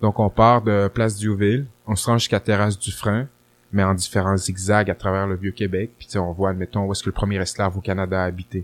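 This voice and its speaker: Dry and close with no echo, the very clean recording has a silent background. A man speaks at a fairly quick pace with fairly low pitch and monotone, flat intonation. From Quebec City, Quebec. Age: 30s. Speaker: rapper and historian. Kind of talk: casual interview.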